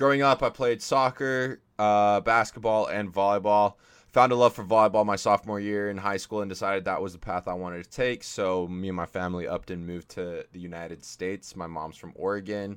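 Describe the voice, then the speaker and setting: On a quiet background, a man speaks in a plain, everyday voice at a fairly quick pace, with a fairly low pitch and ordinary pitch variation. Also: big swings in loudness. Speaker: podcast co-host, former college volleyball player. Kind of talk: casual chat.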